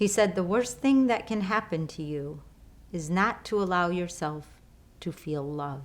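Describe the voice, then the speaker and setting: This woman talks with a Chicago accent. Her pace is moderate. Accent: Chicago American English. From Chicago, US. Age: 50s. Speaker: lifestyle coach. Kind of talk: online course talk.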